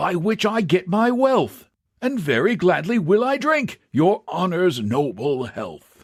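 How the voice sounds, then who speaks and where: A man puts on a character voice pitched high for a man. He talks at a fairly slow pace with very wide pitch swings. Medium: read story. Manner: slow, mild, muttering and mumbling.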